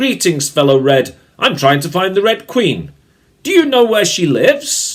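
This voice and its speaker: Putting on a character voice, a man speaks at a moderate pace in a high pitch with very wide pitch swings. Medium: read story. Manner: nervous.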